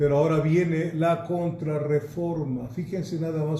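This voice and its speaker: A man with a dark, mellow tone and fairly high pitch speaks at a fairly slow pace with fairly even intonation amid audible room echo. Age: 70s. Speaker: pastor and Bible teacher. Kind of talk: church history lecture. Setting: recorded at home.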